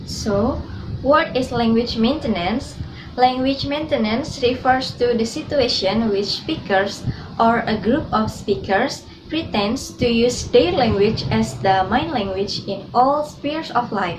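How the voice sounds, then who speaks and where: In an Indonesian accent, a woman with a fairly high pitch and ordinary pitch variation talks at a fairly slow pace, with audible room echo and noticeable background noise. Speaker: student. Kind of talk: class presentation.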